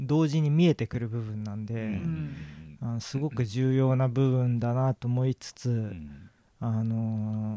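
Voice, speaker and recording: A man with a medium-pitched voice and a dark, mellow tone speaks at a fairly slow pace with lively intonation. The sound is dry and close with no echo, over a quiet background. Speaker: painter. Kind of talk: interview.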